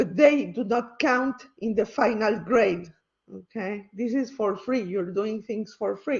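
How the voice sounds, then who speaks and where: A somewhat breathy woman's voice, fairly high in pitch, with a non-native accent and a very slow pace. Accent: non-native English speaker. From Mexico. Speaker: university lecturer. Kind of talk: lecture. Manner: hesitant, many fillers.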